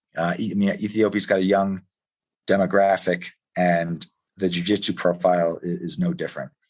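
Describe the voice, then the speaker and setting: Over a quiet background, a man with a Philadelphia accent talks in a very deep, low pitch with monotone, flat intonation. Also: moderate pace. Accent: Philadelphia-area American English. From US Northeast, Philadelphia area. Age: 40s. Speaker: jiu-jitsu coach. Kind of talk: podcast interview. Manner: hesitant, many fillers and restarts.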